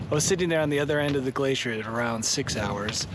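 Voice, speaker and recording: Lively, fairly high male voice amid noticeable background noise. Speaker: solo hiker vlogger. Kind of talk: casual vlog narration. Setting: mountain hut airlock at dawn.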